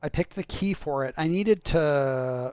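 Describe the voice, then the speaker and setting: The sound is dry and close, with no echo. A man with a fairly high pitch speaks at a fairly slow pace, his intonation fairly even. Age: 40s. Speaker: video game designer streaming gameplay. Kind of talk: casual gaming livestream chat. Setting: livestream. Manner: halting, many fillers.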